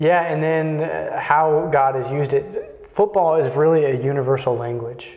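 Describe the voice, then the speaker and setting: Speaking at a moderate pace with hardly any pauses, a man with a Texan accent has a fairly high pitch and ordinary pitch variation, with noticeable background noise. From Texas. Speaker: Jesuit in formation. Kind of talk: interview conversation. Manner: halting, many fillers.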